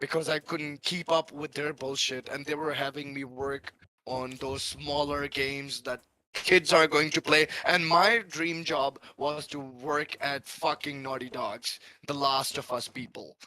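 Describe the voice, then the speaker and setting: In a plain, everyday voice, a man with a fairly high pitch speaks at a fairly slow pace with fairly even intonation, the sound dry and close with no echo. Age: 30s. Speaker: former game artist, stream panelist. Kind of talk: casual chat.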